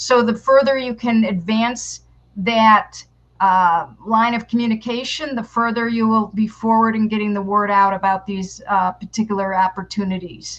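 Against a quiet background, a woman speaks at a moderate pace with a somewhat breathy voice. Her pitch is fairly high and her intonation fairly even. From New York. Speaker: public relations consultant and marketing teacher; marketing teacher. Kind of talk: interview. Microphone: headset.

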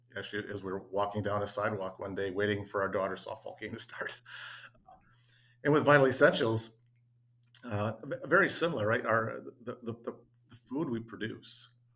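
Speaking with ordinary pitch variation, a man keeps his voice fairly low. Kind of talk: interview answer. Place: office. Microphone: webcam.

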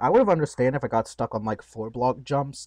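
Talking at a fairly quick pace with lively intonation, a man uses a normal speaking voice at medium pitch, recorded dry and close with no echo. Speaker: gaming streamer. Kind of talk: casual gaming stream chat.

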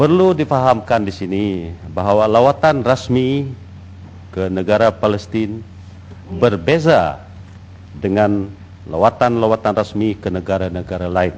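A man speaks at a fairly slow pace with fairly low pitch. His intonation is lively, broken by long, frequent pauses. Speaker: deputy minister. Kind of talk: parliamentary answer. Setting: parliament chamber. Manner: halting.

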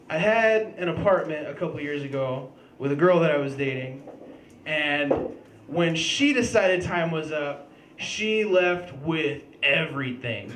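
A man with a high pitch speaks at a fairly slow pace. Light background noise and audible room echo are present. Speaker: stand-up comedian. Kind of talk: stand-up comedy routine. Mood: animated storytelling, profane. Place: stage. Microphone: handheld.

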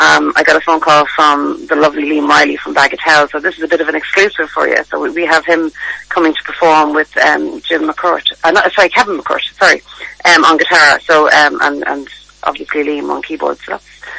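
Fairly quick speech with vocal fry, a slightly husky edge, a bright, sharp tone and little pitch movement. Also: woman, low pitch for a woman.

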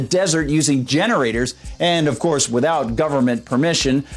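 Faint background music beneath a man's moderate-paced speech. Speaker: online news commentator. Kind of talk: commentary. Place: studio.

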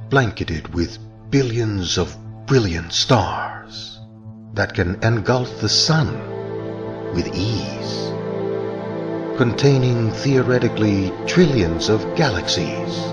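A man at a very slow pace, fairly low in pitch with ordinary pitch variation, with music in the background. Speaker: documentary voice artist. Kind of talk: documentary narration.

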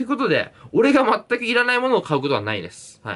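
A man speaks at a very fast pace, his pitch swinging very widely. Vocal fry runs through his voice. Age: 20s. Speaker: YouTuber and university student; YouTuber. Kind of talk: solo Q&A vlog; casual vlog chat, Q&A. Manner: casual, filler-heavy. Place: home room. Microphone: phone near.

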